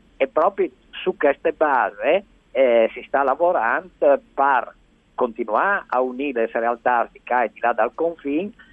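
An unremarkable speaking voice from a man, fairly high in pitch, with lively intonation. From Friuli, Italy-Slovenia border area. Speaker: nature conservation expert. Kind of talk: radio interview. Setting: phone call.

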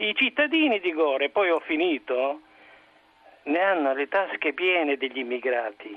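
The delivery from this man is moderately paced. He uses lively intonation. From Rome. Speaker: caller. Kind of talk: opinionated call-in comment. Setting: phone call.

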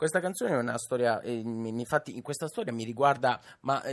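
On a very clean recording with a silent background, a man at a medium pitch speaks at a fairly quick pace with ordinary pitch variation. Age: 20s. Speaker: singer-songwriter. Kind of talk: radio interview. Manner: halting.

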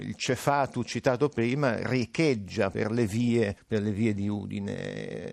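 A man's medium-pitched voice with ordinary pitch variation, very slow in pace with hardly any pauses. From northern Italy, Alessandria (Piedmont). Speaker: linguist and writer. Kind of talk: radio interview. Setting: remote link from radio studio.

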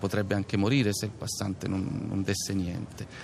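Heard here is a plain, everyday voice. A man talks at a moderate pace with a fairly low pitch. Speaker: stage actor. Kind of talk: interview. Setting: outdoors in a town square.

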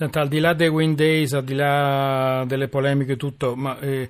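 Moving at a moderate pace, a man talks in an unremarkable speaking voice. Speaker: radio host. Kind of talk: radio talk show.

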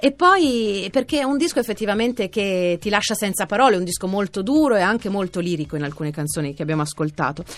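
Pitch swinging very widely, a woman talks at a medium pitch and a fairly quick pace. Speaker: radio host. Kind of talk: radio music show with interview.

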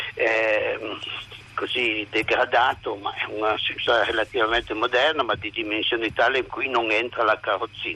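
Speaking at a moderate pace, a man with a medium pitch keeps a monotone, flat intonation over noticeable background noise. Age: old. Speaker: retired hospital doctor, caregiver. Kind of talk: radio phone-in.

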